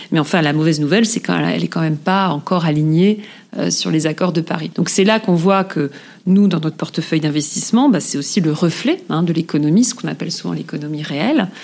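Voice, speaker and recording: Using vocal fry, a woman talks at a fairly quick pace in a fairly low voice with ordinary pitch variation. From eastern France (Moselle/Alsace area). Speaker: corporate sustainability director. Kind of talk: interview. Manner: hesitant, many fillers and repetitions.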